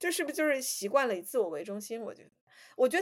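Very wide pitch swings come through in a very clean recording with a silent background. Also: woman. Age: 30s. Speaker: podcast co-host. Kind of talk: casual chat.

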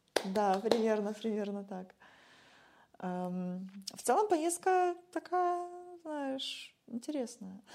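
Pausing long and often, a woman talks very slowly at a fairly high pitch, her voice swinging very widely up and down. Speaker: musician and former social worker. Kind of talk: casual interview chat. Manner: animated.

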